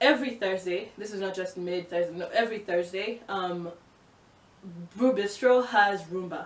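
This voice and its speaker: A woman of medium pitch speaks in an animated tone with ordinary pitch variation. Audible room echo surrounds her voice. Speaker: vlogger. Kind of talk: casual vlog monologue. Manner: fast.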